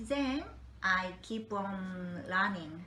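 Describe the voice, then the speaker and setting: A woman's very slow speech in a Japanese accent, with audible room echo. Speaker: olive oil interpreter and broker. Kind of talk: interview. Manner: halting.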